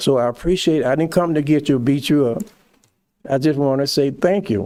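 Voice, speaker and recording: At a moderate pace, a man talks in a fairly high voice with a dark, mellow tone and ordinary pitch variation. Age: 80s+. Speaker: public commenter, community volunteer. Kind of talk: public comment at government meeting. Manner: halting.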